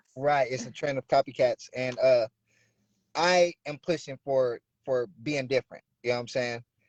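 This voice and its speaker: An ordinary speaking voice with an American accent, at a moderate pace with fairly even intonation. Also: man, fairly high pitch for a man. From Bay Area, California (Oakland). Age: 30s. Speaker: rapper. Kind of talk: interview.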